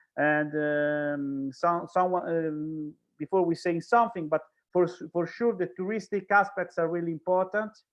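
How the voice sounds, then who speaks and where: Speaking with an Italian accent, a man uses a high pitch. His pace is moderate and his pitch variation ordinary. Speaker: speaker from an organization. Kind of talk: panel discussion. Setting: online event. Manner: halting.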